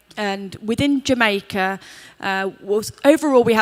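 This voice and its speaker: Speaking with an English accent, a woman keeps to a fairly slow pace. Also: dry, close sound with no echo. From England. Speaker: hotel group sustainability executive. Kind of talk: panel discussion. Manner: somewhat halting, many fillers.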